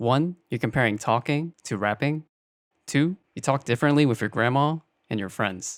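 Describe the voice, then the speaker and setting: A man with an American accent speaks in a medium pitch at a moderate pace, in a normal speaking voice. His pitch varies in an ordinary way, and the recording is very clean with a silent background. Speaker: video essayist responding to another creator. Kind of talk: commentary rebuttal.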